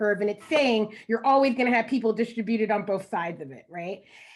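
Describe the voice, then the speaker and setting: Against a quiet background, a woman speaks at a fairly quick pace with a fairly high pitch and lively intonation. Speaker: education researcher. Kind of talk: panel discussion. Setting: panel with interpreters. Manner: fast.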